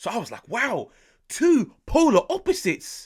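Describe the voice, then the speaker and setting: A man with a British accent on a very clean recording with a silent background. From UK. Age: 20s. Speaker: football YouTuber. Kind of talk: football match reaction and analysis. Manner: animated.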